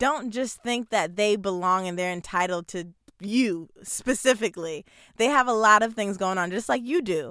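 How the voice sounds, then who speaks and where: Bright, sharp and animated, a woman's fairly high voice with an American accent and lively intonation at a moderate pace, on a very clean recording with a silent background. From New Jersey. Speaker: podcast host and media personality. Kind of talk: casual chat.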